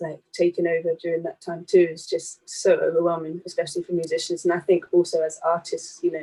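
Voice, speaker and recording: Hardly any pauses appear. The delivery moves at a fairly quick pace. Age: 20s. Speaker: professional musician. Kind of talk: panel discussion.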